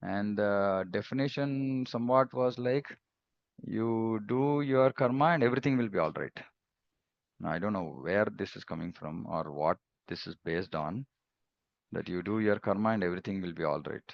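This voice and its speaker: At a moderate pace, a man speaks with lively intonation and a fairly low pitch. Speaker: spiritual teacher. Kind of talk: religious discourse. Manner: quiet; halting.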